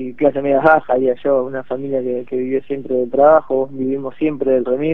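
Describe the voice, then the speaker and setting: This man talks at a medium pitch in a monotone, flat intonation. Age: 20s. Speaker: local politician. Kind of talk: radio interview.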